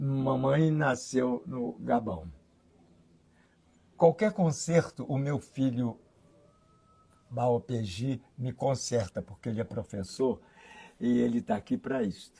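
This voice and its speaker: Very slow and marked by long, frequent pauses, a man's medium-pitched voice sounds somewhat breathy, with a dark, mellow tone and lively intonation. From Rio de Janeiro, Brazil (Engenho de Dentro). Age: 80s+. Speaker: religious leader (priest). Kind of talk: interview.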